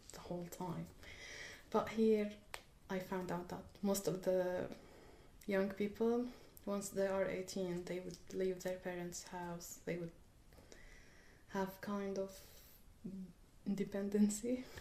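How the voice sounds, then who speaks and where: A woman with an Arabic accent speaks at a fairly slow pace, leaving long, frequent pauses. Her tone is dark and mellow, her intonation monotone and flat, with audible room echo around her. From Syria. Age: 20s. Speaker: refugee student. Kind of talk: interview. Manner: hesitant.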